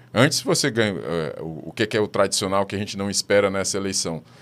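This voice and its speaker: A man speaks fairly quickly, and the recording is very clean with a silent background. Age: 50s. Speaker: social scientist and professor. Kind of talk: interview. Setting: studio. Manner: halting.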